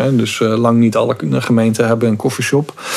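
A man's medium-pitched voice with monotone, flat intonation and noticeable background noise. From Zeeland, Netherlands (Goes). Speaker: investigative journalist. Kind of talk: podcast interview.

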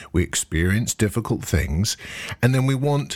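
Somewhat breathy, a man speaks at a medium pitch. His pace is fairly slow. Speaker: mindfulness teacher and podcast host. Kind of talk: talk to a live meditation group.

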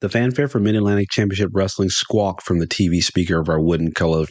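A man speaks in an American accent. His fairly low voice moves at a very fast pace. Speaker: podcast host and storyteller. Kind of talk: dramatic storytelling narration, folksy. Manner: animated, expressive, theatrical pacing with gusto.

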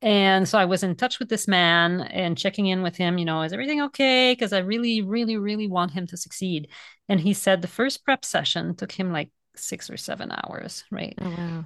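A woman with a French Canadian accent at a medium pitch and a fairly quick pace. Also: ordinary pitch variation. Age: 40s. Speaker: author and vegan food educator. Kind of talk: casual interview conversation.

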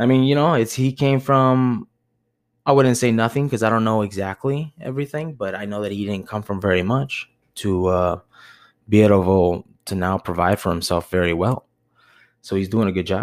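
A man with an American accent speaks in a normal speaking voice at a moderate pace. His pitch is fairly low, with ordinary pitch variation. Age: 30s. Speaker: podcast host, bar manager. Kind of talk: solo monologue podcast. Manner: rambling, filler-heavy.

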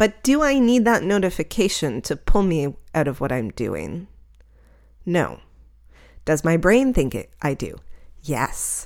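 A woman speaks at a fairly low pitch with vocal fry and very wide pitch swings, taking a fairly slow pace. Long, frequent pauses break up her speech in a very clean recording with a silent background. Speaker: podcast host and night photographer. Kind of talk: solo podcast monologue. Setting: home recording with microphone and computer. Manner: reflective, conversational.

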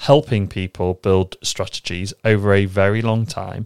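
Recorded with a dry, close sound and no echo, a man talks in a British accent. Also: very clean recording, silent background. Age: 30s. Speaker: trading podcast host. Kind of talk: solo podcast monologue.

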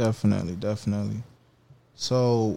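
At a moderate pace, a man speaks in an ordinary speaking voice of medium pitch with fairly even intonation. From Haitian-American family. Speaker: podcast host. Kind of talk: podcast interview.

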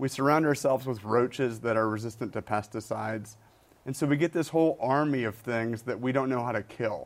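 A man with an American accent talks at a fairly quick pace in an ordinary speaking voice. His pitch is medium, with ordinary pitch variation. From Michigan. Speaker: biology professor and author. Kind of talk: interview.

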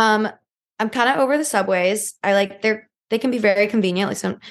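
Vocal fry runs through this voice with an American accent and ordinary pitch variation. The background is quiet. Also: woman. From US South, Georgia (north of Atlanta). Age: 20s. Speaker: pediatric nurse and social media influencer. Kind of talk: casual chat.

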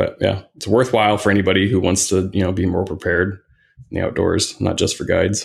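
Over a silent background on a very clean recording, a man with an American accent talks at a very fast pace in a fairly low, somewhat breathy voice with monotone, flat intonation. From US Midwest, Indiana. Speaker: hiking guide and photographer. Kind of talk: casual chat.

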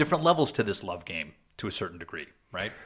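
He speaks very fast with vocal fry. The background is silent and the recording very clean. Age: 40s. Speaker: podcast host. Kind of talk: casual chat.

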